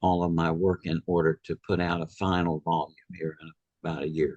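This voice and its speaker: This is a man speaking with a Southern US accent. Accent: Southern US (Georgia). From US South. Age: 80s+. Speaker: author and near-death experience researcher. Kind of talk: interview.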